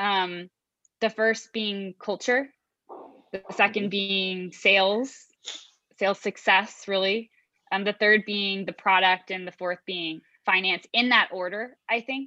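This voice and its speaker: Speaking very slowly with long, frequent pauses, a woman with a Chicago accent has a medium pitch, a bright, sharp tone and fairly even intonation. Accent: Chicago American English. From US Midwest (Chicago). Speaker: sales executive. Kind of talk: interview.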